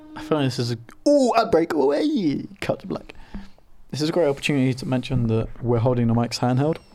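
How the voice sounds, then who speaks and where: Music plays behind a man speaking at a fairly quick pace, his fairly high pitch moving in lively intonation while his loudness swings widely. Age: 20s. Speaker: podcast co-host. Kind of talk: casual chat.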